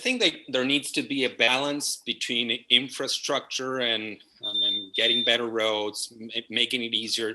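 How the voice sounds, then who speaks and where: In a Spanish accent, the speaker talks at a fairly slow pace with monotone, flat intonation. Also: man. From Argentina, Buenos Aires. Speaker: property management company partner. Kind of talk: interview.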